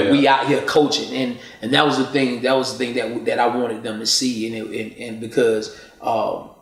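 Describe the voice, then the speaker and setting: Noticeable background noise sits behind a man talking at a fairly quick pace. His medium-pitched voice has monotone, flat intonation. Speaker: poet and spoken word artist. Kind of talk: interview answer. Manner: casual, earnest.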